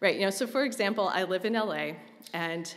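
A woman at a fairly quick pace, with ordinary pitch variation, against a quiet background. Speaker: conference presenter. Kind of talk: lecture. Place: hall. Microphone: podium.

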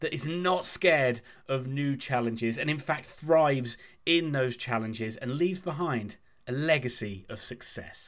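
With ordinary pitch variation and a moderate pace, a man's speech is heard against a quiet background. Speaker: football fan channel host. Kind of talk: commentary. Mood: enthusiastic, upbeat.

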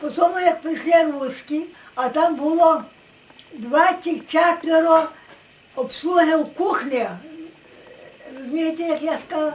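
A woman with an extremely high pitch and fairly even intonation, at a fairly slow pace with long, frequent pauses, over light background noise. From Western Ukraine. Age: 80s+. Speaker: village elder recalling the past. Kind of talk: interview answer. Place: home room. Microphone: camera far.

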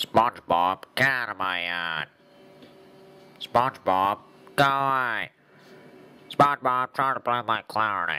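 Using a put-on character voice, a man speaks fairly slowly in a nasal, medium-pitched tone with lively intonation and long, frequent pauses. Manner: irritated, yelling.

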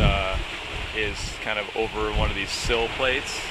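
There is loud background noise throughout. A man is speaking over it. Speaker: sailor vlogger. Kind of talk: casual vlog chat. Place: boat. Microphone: phone near.

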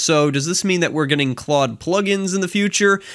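Lively intonation runs through a man's speech over a quiet background. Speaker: tech news youtuber. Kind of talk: commentary.

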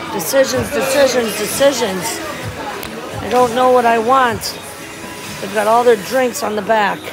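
A woman talks at a moderate pace over clear background music. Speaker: travel vlogger. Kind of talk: casual vlog chat.

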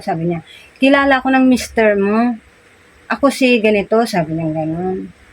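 Her voice is fairly high in pitch and somewhat breathy, belonging to a woman. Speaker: vlogger and sari-sari store owner. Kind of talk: casual vlog storytelling.

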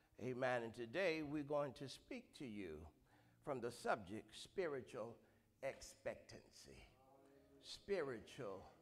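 A man speaks at a very slow pace, leaving long, frequent pauses. Vocal fry runs through his voice. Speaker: pastor. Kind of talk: scripture reading, then sermon opening and prayer. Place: church. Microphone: handheld.

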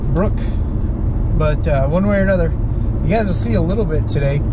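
Loud background noise surrounds a man's voice, which has a dry sound with no echo. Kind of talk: casual vlog chat. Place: car. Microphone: phone near.

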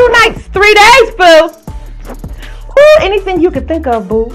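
At a fairly slow pace, a woman talks while faint music plays in the background. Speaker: interview host. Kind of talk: playful interview banter, telling a scenario. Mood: playful, teasing, laughing.

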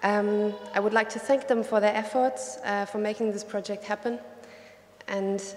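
A woman's fairly even intonation carries her speech along at a moderate pace. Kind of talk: welcome speech. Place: hall. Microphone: podium.

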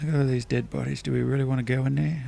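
Mumbling from a man with an Australian accent. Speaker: gaming video creator. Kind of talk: gameplay commentary. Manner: mumbles.

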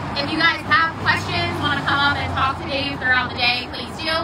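A high-pitched woman's voice at a fairly quick pace, over noticeable background noise. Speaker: event host for a fishing shop. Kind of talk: casual presenting. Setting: live event with microphone.

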